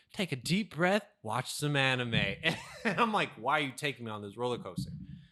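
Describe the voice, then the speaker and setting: A loud man's voice at a fairly quick pace, fairly high in pitch, with very wide pitch swings and a bright, sharp tone. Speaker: podcast co-host. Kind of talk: casual chat. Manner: fast, speeds up when excited.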